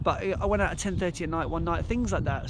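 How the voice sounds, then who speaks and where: A man talks at a very fast pace, with audible room echo and noticeable noise in the background. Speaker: running vlogger. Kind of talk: vlog monologue. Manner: halting.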